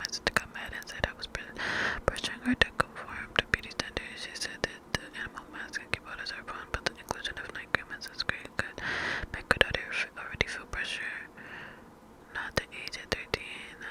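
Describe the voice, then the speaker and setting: A whispering voice at a fairly quick pace, with noticeable background noise. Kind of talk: story reading. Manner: whispered.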